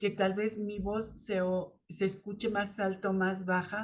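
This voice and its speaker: A woman's somewhat breathy, medium-pitched voice at a very slow pace. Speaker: spiritual channel host, tarot reader. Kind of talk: spiritual talk to camera. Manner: halting, many fillers; uneven loudness, rising and falling.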